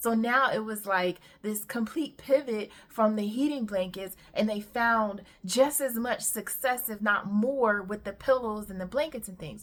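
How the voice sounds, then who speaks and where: At a moderate pace and fairly high pitch, a woman with a plain, everyday voice talks with ordinary pitch variation. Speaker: entrepreneurship YouTuber. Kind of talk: casual vlog monologue.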